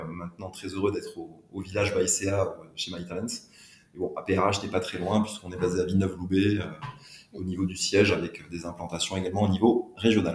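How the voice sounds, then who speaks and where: A man talks at a fairly quick pace. His very deep, low voice is monotone and flat. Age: 40s. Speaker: HR entrepreneur. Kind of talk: interview. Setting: on location at a business village.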